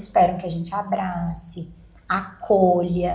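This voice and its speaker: A woman's voice comes through with audible echo from the room and noticeable noise in the background. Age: 30s. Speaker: lawyer. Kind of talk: podcast interview.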